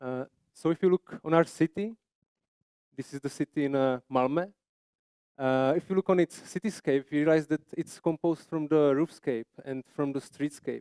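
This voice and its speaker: Speaking with a Czech accent, a man has a fairly high pitch for a man and a dark, mellow tone. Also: ordinary pitch variation, moderate pace, dry, close sound with no echo. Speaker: landscape architect presenter. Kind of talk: conference presentation. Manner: halting.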